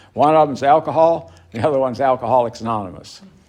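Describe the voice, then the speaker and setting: A man in a North Carolina accent at a fairly quick pace. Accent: Southern US (North Carolina). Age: 70s. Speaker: recovery speaker. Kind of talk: recovery talk to a meeting. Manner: halting.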